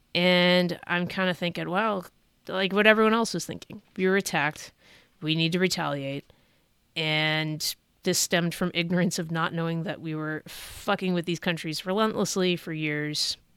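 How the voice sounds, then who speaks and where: On a very clean recording with a silent background, a woman with an American accent uses a normal speaking voice at a fairly low pitch with fairly even intonation. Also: moderate pace. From California, Bay Area. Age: 30s. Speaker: Navy veteran and comedian, podcast host. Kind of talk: solo podcast monologue. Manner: casual, conversational.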